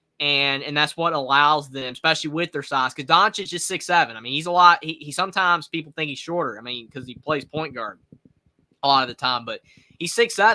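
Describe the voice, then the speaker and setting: Speaking fairly quickly in a Southern accent, a man with a fairly high pitch and a bright, sharp tone shows ordinary pitch variation and big swings in loudness. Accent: Southern, moderate. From North Carolina. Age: 20s. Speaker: sports streamer. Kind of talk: live reaction commentary. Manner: casual, repetitive filler words.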